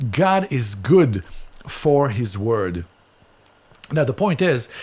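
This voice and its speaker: A man at medium pitch in an Israeli accent, very slow, with very wide pitch swings. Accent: Israeli, noticeable. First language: Hebrew. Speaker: Bible teacher. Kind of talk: Bible teaching.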